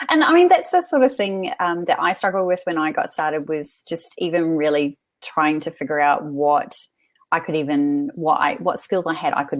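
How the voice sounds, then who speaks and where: A woman with a New Zealand accent, very deep and low in pitch, at a moderate pace with ordinary pitch variation. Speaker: freelance writer and author coach. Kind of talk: webinar interview. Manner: hesitant, many fillers.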